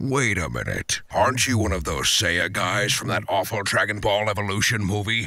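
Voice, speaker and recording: Doing a put-on character voice, a man speaks in a raspy tone with hardly any pauses. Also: fairly low pitch for a man, moderate pace. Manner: weary, deadpan.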